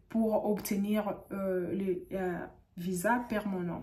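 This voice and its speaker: The speaker is a woman, somewhat breathy. She talks at a very slow pace. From DR Congo. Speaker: YouTuber giving visa advice. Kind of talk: tutorial. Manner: halting, frequent hesitations. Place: home room. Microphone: studio mic.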